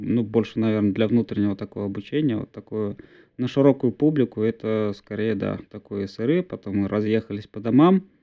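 A man talks at a moderate pace. He has an unremarkable speaking voice with ordinary pitch variation. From Bashkortostan, Russia (village near Ufa). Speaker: DevOps engineer, co-host. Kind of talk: casual tech discussion. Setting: video call from parents' home. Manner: frequent filler words.

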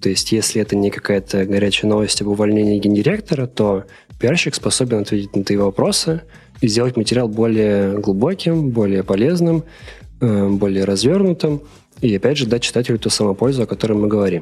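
This man has an ordinary speaking voice, fairly low in pitch with ordinary pitch variation, moving at a fairly quick pace with very even loudness. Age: 20s. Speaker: media product manager, former editor-in-chief. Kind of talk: interview.

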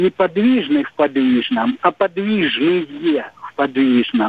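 A man with a high voice speaks at a very slow pace, his pitch swinging very widely. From southern Russia. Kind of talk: phone-in question. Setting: phone call.

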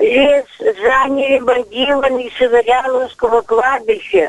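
Over noticeable background noise, a woman with a high voice speaks at a very slow pace with lively intonation. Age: 80s+. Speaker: volunteer nature inspector. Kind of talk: radio call-in complaint. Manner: agitated.

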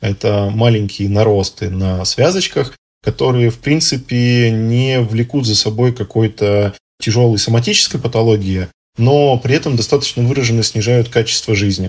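Heard in a very clean recording with a silent background, a somewhat breathy man at medium pitch speaks at a moderate pace with ordinary pitch variation. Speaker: ENT doctor. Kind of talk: expert interview.

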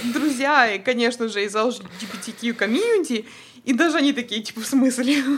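A woman with a high pitch, ordinary pitch variation and a moderate pace. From Odesa, Ukraine, then Toronto from age 12. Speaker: dental worker and photographer. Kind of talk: casual chat.

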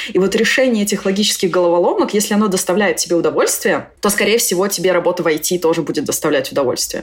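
A woman rushes through her words at a very fast pace, with noticeable background noise behind her. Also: very even loudness. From Moscow, Russia. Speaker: programmer and IT school founder. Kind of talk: casual interview chat.

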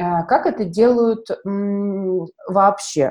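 Medium pitch and a dark, mellow tone in a woman's voice. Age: 30s. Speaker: medical marketer and event organizer. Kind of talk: casual chat.

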